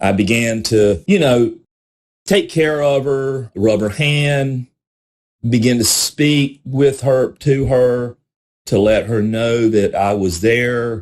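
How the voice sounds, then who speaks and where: A man's medium-pitched voice with a Southern US accent, at a very slow pace. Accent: Southern US country. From South Carolina. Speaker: podcast host, recovery advocate. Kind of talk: personal testimony. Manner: conversational, repetitive fillers.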